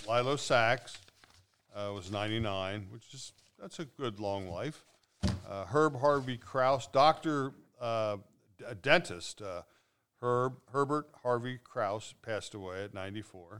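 A man with a plain, everyday voice, medium in pitch with ordinary pitch variation, at a fairly slow pace. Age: 60s. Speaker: podcast co-host. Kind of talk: casual chat.

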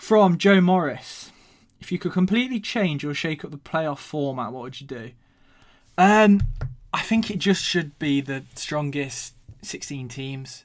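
A man's fairly high voice with an English accent, fairly slow pace, lively intonation and big swings in loudness. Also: very clean recording, silent background. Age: 20s. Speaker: podcast host. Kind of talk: casual monologue.

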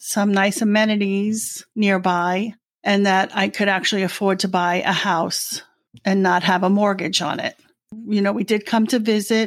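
A woman's medium-pitched voice in a New York accent, with fairly even intonation, very even loudness and a moderate pace, in a very clean recording with a silent background. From New York City, Brooklyn. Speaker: retiree. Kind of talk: casual chat.

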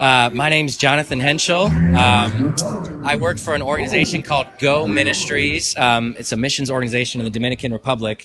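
Against noticeable background noise, a man speaks at a fairly quick pace in a medium pitch with ordinary pitch variation. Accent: American. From Michigan. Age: 20s. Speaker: sports league organizer. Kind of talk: casual interview.

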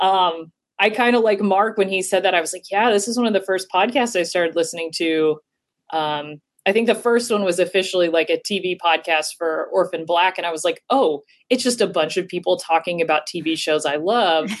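Against a quiet background, a woman with a normal speaking voice and medium pitch talks at a fairly quick pace. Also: ordinary pitch variation. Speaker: scientist caller. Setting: at work.

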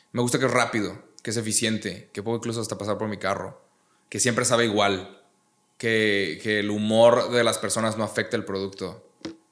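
Speaking at a moderate pace, a man holds a fairly low pitch with a monotone, flat intonation. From Mexico, Monterrey. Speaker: YouTuber and comedian. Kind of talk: casual chat.

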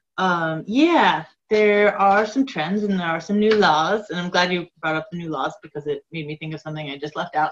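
Speaking at a moderate pace with hardly any pauses, a woman uses an ordinary speaking voice, fairly low in pitch, with ordinary pitch variation and big swings in loudness. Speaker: elder abuse prevention director. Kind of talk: interview.

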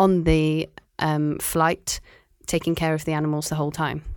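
With a Cardiff accent, a woman speaks at a fairly slow pace in a very deep, low pitch, her intonation flat and monotone. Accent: Welsh (Cardiff). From Wales, Cardiff. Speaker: marine biologist. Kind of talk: casual interview.

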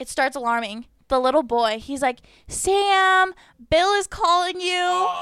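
Her extremely high voice has a bright, sharp tone and very wide pitch swings. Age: 20s. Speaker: nursing student. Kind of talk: casual chat. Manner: fast talker.

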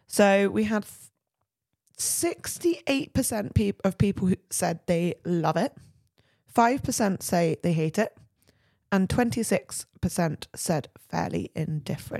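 At a very slow pace, a woman with a medium pitch and a dark, mellow tone speaks with lively intonation. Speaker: podcast co-host. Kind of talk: casual chat.

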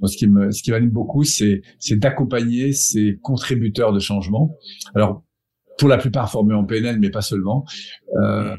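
A fairly slow man's voice, fairly low and dark, mellow in tone, with ordinary pitch variation. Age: 50s. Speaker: personal development coach and trainer. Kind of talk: casual interview.

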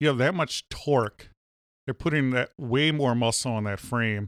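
A man with a medium pitch talks at a moderate pace with ordinary pitch variation, in a plain, everyday voice. The recording is very clean with a silent background and a dry, close sound with no echo. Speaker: podcast host. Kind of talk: casual comedic chat. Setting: home studio barn.

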